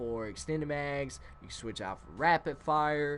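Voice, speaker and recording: Over a quiet background, a man mumbles at a fairly slow pace. His intonation is lively. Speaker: gaming youtuber. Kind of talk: gameplay commentary. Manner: mumbling; casual, filler-heavy.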